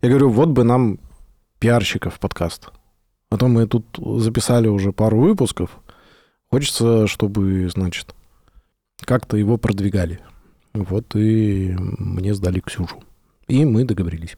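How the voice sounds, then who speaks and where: A man with a fairly low pitch and a dark, mellow tone speaks at a fairly slow pace, with ordinary pitch variation and long, frequent pauses, on a very clean recording with a silent background. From Sverdlovsk region, Russia. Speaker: podcast co-host, IT team lead. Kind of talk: casual chat. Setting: studio.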